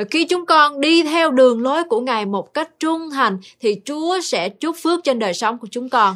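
Her tone intense, a woman speaks at a moderate pace with a high pitch. Her pitch swings very widely. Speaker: Bible teacher.

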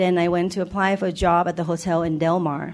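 Speaking at a very fast pace, a woman with a Thai accent holds a medium pitch. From Thailand. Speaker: church member giving testimony. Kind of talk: testimony. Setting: church.

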